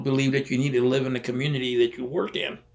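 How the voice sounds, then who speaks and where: Over noticeable background noise, a man of medium pitch speaks at a fairly quick pace with fairly even intonation. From California Central Valley (Tracy). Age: 80s+. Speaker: war veteran. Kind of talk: oral history interview. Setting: interview room at history center. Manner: halting, repetitive.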